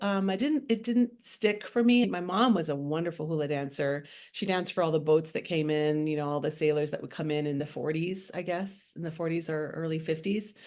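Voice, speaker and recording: A woman with a fairly low voice talks at a fairly quick pace. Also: quiet background. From Honolulu, Hawaii. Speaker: singer. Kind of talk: interview answer.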